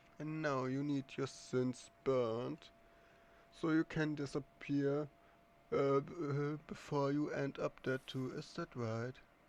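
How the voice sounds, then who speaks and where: A man puts on a nasal character voice pitched fairly high. He talks at a fairly slow pace. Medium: actual play. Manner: sweet, nasal, grinding, menacing.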